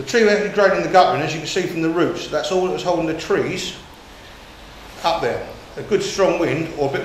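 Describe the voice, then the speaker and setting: Over light background noise and audible room echo, a man speaks very fast with fairly even intonation. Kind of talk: guided tour explanation. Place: empty room.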